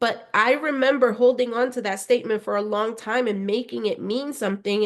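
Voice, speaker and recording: A Spanish accent, fairly even intonation, and a quiet background. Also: woman. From Spanish-speaking family, schooled in the US. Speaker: podcast host, empowerment coach. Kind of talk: motivational podcast monologue. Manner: conversational, frequent 'right?' tags.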